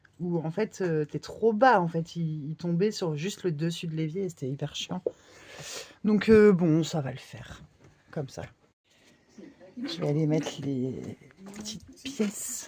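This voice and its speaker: Long pauses come frequently. The talking proceeds very slowly. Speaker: nomadic craft vlogger, parent. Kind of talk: casual vlog chat. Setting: at home in the dark, kids asleep. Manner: soft-spoken.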